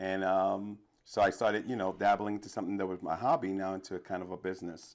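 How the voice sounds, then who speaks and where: Speaking at a very fast pace with a New York accent, a man has a very deep, low voice in a very clean recording with a silent background. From New York City, the Bronx. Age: 50s. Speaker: DJ and trivia host. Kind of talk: interview. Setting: studio. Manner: animated.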